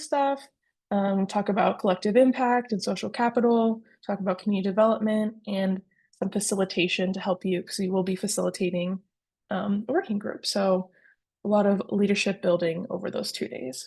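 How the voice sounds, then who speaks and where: A dark, mellow, somewhat breathy tone with ordinary pitch variation over a quiet background. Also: woman, medium pitch for a woman, fairly quick pace. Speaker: community program coordinator. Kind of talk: webinar presentation. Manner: fast.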